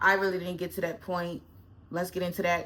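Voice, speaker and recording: This woman has a fairly low pitch. Her tone is bright and sharp. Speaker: lifestyle vlogger. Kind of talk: casual chat. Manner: halting.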